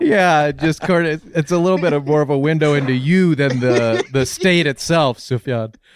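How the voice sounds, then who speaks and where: Over noticeable background noise, a man talks at a moderate pace with hardly any pauses, his fairly high pitch moving in ordinary ways and his loudness very even. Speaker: podcaster. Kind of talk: casual chat.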